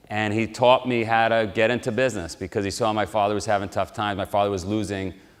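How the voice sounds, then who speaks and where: A man with a New York accent, fairly low in pitch, talking very fast with fairly even intonation, in a very clean recording with a silent background. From New York City (Queens). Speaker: motivational speaker. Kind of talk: motivational talk. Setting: live audience at military base.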